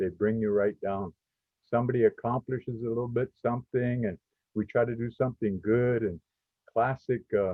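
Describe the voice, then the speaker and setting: With a plain, everyday voice, a man speaks at a medium pitch using fairly even intonation. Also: moderate pace. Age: 60s. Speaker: podcast host, community college. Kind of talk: podcast discussion. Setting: live stream from a college.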